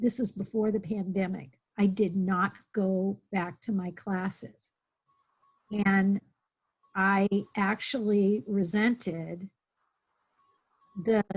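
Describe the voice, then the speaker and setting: A woman speaks at a very slow pace, with long, frequent pauses. Her voice is somewhat breathy, and her intonation is fairly even. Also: medium pitch for a woman. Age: 60s. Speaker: webinar participant. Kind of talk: personal sharing in online workshop. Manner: halting.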